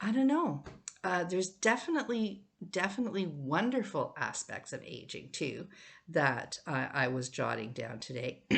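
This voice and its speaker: A woman speaks at a moderate pace and a medium pitch with vocal fry and very wide pitch swings. The background is quiet. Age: 70s. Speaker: vlogger. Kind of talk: reflective monologue. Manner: casual, hesitant with fillers.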